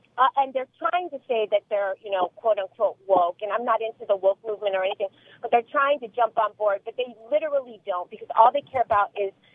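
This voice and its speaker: Delivered at a fairly quick pace, an ordinary speaking voice shows ordinary pitch variation. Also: woman. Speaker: radio call-in caller. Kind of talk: radio call-in opinion. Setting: phone call.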